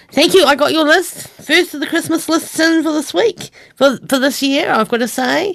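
With ordinary pitch variation, a woman speaks in a high pitch at a moderate pace. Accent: New Zealand. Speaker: radio host. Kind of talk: radio DJ patter introducing country songs. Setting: studio. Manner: relaxed, chatty, conversational.

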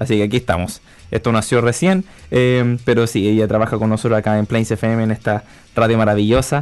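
Over background music, a man speaks very fast at a medium pitch, his loudness very even and his pitch varying in an ordinary way. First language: Spanish. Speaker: radio host. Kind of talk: casual chat.

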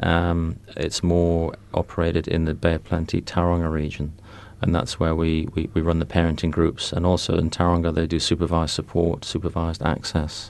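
A man's very deep, low voice at a moderate pace, monotone and flat in intonation, with very even loudness. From England. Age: 50s. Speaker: community support worker for fathers. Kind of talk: radio interview. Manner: hesitant, with repeated words and fillers.

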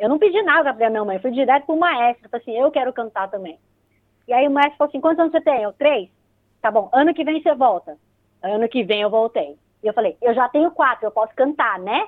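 Here is a woman with a São Paulo accent and a high pitch. She speaks at a very fast pace. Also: lively intonation. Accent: São Paulo Brazilian Portuguese. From Brazil, São Paulo. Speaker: radio host and pharmacist. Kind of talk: casual interview.

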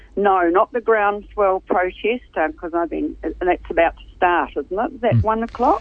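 Someone with a New Zealand accent speaks at a moderate pace with hardly any pauses. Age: old. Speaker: retired nurse, regular contributor. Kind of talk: radio interview. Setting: phone call.

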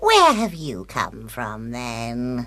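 The clip features a put-on character voice at a low-to-middle pitch. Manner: sweet, feigned kindliness.

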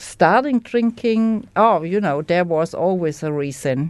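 Speaking with a German accent at a fairly slow pace, a woman uses a medium pitch and lively intonation. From Germany. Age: 60s. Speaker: recovering alcoholic. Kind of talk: testimony. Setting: studio. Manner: halting.

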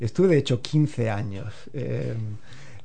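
With audible room echo, a man speaks in a dark, mellow tone that is somewhat breathy. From Spain, Andalusia (Alpujarra, Granada). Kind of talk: casual interview.

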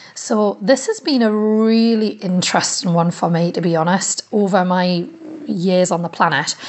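Noticeable background noise sits under a woman speaking at medium pitch and a moderate pace, with ordinary pitch variation. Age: 30s. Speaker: community radio presenter. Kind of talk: personal audio diary. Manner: animated.

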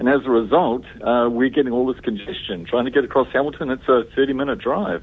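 At a fairly quick pace, a man with a New Zealand accent talks at a medium pitch with ordinary pitch variation over noticeable background noise. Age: old. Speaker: newspaper columnist. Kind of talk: casual radio chat. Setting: phone call. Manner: halting.

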